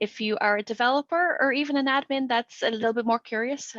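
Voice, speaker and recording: With an Irish accent, a woman speaks at a fairly quick pace and a fairly high pitch. The sound is dry and close, with no echo. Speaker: developer advocate, webinar host. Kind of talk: webinar presentation. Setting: online webinar. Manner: talkative.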